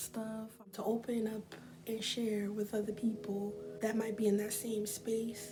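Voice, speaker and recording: Against noticeable background noise, a soft-spoken woman talks at a fairly slow pace, her fairly high voice in a monotone, flat intonation. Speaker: beauty vlogger. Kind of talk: casual talk to camera.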